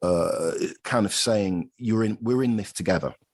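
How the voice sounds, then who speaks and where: In a British accent, a man speaks with ordinary pitch variation. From Britain. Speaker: accounting professor. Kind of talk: podcast interview. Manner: halting, with many fillers.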